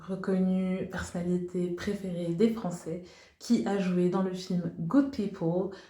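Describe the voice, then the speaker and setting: Amid audible room echo, a woman with a medium pitch talks at a very slow pace. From Liberia. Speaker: English teacher, YouTuber. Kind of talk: educational video presentation. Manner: hesitant with frequent fillers.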